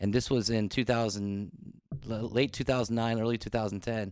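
With an American accent and a normal speaking voice, a man talks at a fairly quick pace and medium pitch, his intonation fairly even against a quiet background. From US Mid-Atlantic, northern Virginia near DC. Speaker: restaurant worker. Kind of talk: casual chat.

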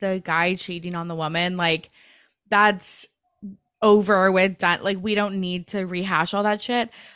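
Very clean and set against a silent background, this recording features a woman with a plain, everyday voice. She is medium-pitched, with fairly even intonation. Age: 30s. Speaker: podcast host. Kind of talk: casual chat.

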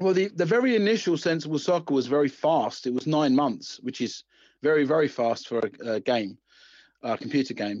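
In an Essex accent, a man speaks at a moderate pace with a fairly high pitch and very wide pitch swings. The background is quiet. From Essex, England. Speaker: video game designer. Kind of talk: interview. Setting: phone call.

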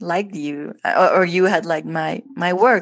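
A woman with a Spanish accent, medium in pitch, at a fairly slow pace. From Guatemala. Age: 30s. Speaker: artist and former administrator. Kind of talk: interview. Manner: halting.

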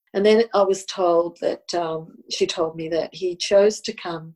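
Woman with an Australian accent, fairly low pitch, dark, mellow tone, monotone, flat intonation and fairly slow pace. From Australia, Sydney. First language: Italian. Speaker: spiritual healer and tarot counsellor. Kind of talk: personal testimony interview.

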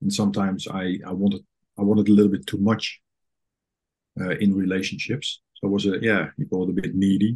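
Fairly low in pitch, a man with a Dutch accent speaks at a fairly quick pace and with fairly even intonation. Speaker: therapist and coach, guest. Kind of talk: personal interview, reflective conversation. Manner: halting, reflective.

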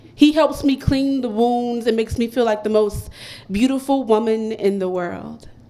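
Through noticeable background noise, a woman with an American accent talks at a moderate pace with ordinary pitch variation. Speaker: poet performing open mic. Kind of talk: poet spoken word, confessional love poem with punchy wordplay, heartfelt and steady. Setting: stage with live audience at poetry cafe.

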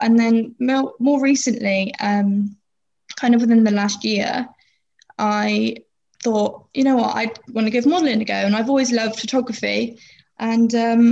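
Somewhat breathy and fairly high-pitched, a woman talks at a fairly slow pace with fairly even intonation. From Plymouth, southwest England. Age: 20s. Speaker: model with a limb difference. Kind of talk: interview.

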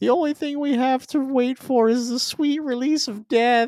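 A man puts on a character voice. It sits at an extremely high pitch and moves at a moderate pace. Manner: deadpan, morbid.

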